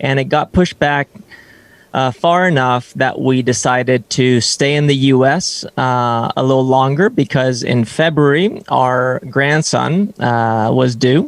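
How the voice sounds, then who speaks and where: This man has an unremarkable speaking voice at a medium pitch. His loudness stays very even, with ordinary pitch variation. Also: fairly slow pace. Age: 30s. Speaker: fitness coach. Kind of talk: interview podcast. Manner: many fillers and false starts.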